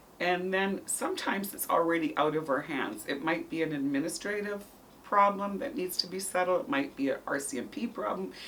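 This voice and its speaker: A woman's medium-pitched voice at a fairly quick pace with very wide pitch swings, amid noticeable background noise. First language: not English. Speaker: school counselor. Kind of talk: interview.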